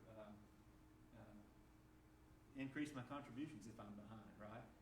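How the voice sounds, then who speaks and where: In a Southern US accent, a man talks at a medium pitch and a moderate pace with ordinary pitch variation, with noticeable background noise and audible room echo. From US South. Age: 50s. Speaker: financial speaker. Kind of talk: presentation. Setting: church.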